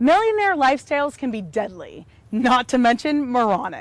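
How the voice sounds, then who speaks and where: Her high voice swings very widely in pitch as the woman speaks at a moderate pace. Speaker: web show presenter. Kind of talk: scripted news presentation; casual chat. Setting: outdoors in a park.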